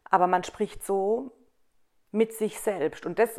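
Very slow, medium-pitched speech from a woman, with ordinary pitch variation. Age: 30s. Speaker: hairdresser and salon owner. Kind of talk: casual chat. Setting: on a couch at her home.

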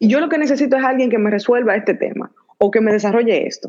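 In an ordinary speaking voice, a woman talks at a fairly quick pace with a fairly high pitch and lively intonation. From Dominican Republic. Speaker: entrepreneur. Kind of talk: interview. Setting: live stream.

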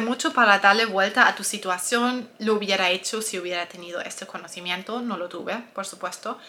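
Through noticeable background noise, a woman talks at a moderate pace with lively intonation and hardly any pauses. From Germany. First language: German (speaking Spanish). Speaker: nutritionist and health coach. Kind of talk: personal testimony and advice video.

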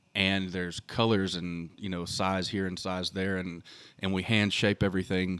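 A man with a Texan accent speaks at a moderate pace in a very deep, low voice, recorded very cleanly against a silent background. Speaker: custom hat maker, family business owner. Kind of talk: interview. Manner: halting with fillers.

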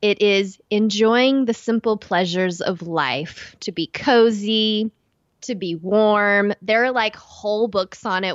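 Her pitch medium and varying in an ordinary way, a woman speaks in an American accent. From East Texas. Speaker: podcast co-host.

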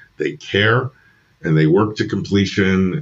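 A man speaks with a very deep, low pitch. His pitch swings very widely. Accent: American. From New York. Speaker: film graduate turned IT professional. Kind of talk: casual chat. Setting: video call.

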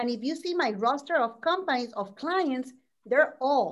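Against a quiet background, a woman speaks in a Puerto Rican accent. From Puerto Rico. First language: Spanish. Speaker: business owner and former executive. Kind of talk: panel discussion advice. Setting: video call. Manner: animated.

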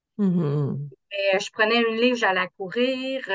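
An ordinary speaking voice moves at a fairly slow pace in a dry, close sound with no echo. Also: woman. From Quebec, south shore of Quebec City. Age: 50s. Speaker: insurance trainer, coaching client. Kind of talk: casual interview.

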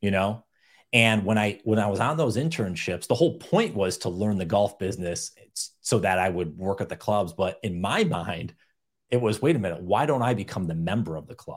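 A man with an American accent and an unremarkable speaking voice, fairly quick and lively in intonation, on a very clean recording with a silent background. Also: fairly low pitch for a man. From upstate New York. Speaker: author and podcaster. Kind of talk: interview.

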